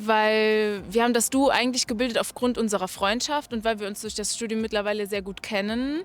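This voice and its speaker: A woman talks at a fairly slow pace with a fairly high pitch. Hers is a plain, everyday voice. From Germany, Saarland. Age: 20s. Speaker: engineering student. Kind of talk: interview.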